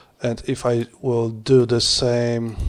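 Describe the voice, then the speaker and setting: A man of medium pitch speaks with a non-native accent. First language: not English. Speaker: HDR image creator. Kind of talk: screen-recorded tutorial. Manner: halting.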